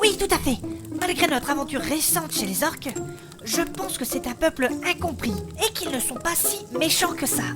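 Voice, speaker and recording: A woman's put-on character voice at a moderate pace, with clear music in the background. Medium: audio drama.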